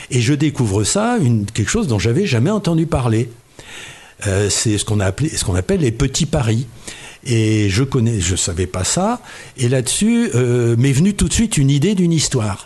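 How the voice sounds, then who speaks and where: Over noticeable background noise, a man talks with very wide pitch swings and very even loudness. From Oise, northern France. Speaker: retired engineer and novelist. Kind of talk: interview.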